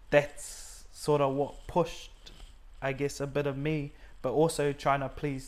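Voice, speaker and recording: With a New Zealand accent, a man talks at a fairly high pitch. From New Zealand, Auckland. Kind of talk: testimony interview.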